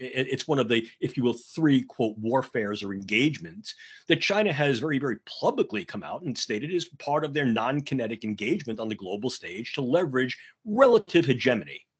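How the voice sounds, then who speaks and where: With a New York accent, a man talks fairly quickly at a medium pitch, his intonation lively against a quiet background. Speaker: conference speaker on neurotech ethics. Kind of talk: conference talk. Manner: off the cuff.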